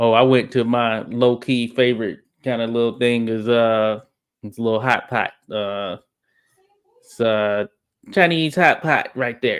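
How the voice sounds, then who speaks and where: With long, frequent pauses, a man at medium pitch speaks at a fairly slow pace with fairly even intonation. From US South, Arkansas. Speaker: boxing channel host. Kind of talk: casual chat.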